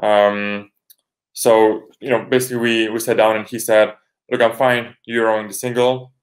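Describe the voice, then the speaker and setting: Monotone, flat intonation from a man with a Polish accent, at a medium pitch and moderate pace. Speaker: rower. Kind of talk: interview. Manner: halting.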